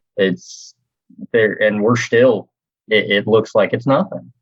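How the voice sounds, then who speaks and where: With an American accent, this man talks in a fairly low voice. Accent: Southern US, gets thick at times. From US South, North Carolina (Kannapolis, near Charlotte). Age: 20s. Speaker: real estate team leader. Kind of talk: podcast interview. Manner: fast.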